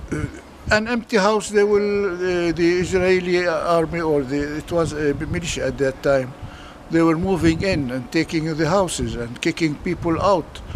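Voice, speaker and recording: A man's high voice with an Arabic accent, ordinary pitch variation and noticeable background noise. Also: moderate pace. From Palestine, Jerusalem. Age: 80s+. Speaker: refugee eyewitness. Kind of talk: interview testimony. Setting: outdoors. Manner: halting.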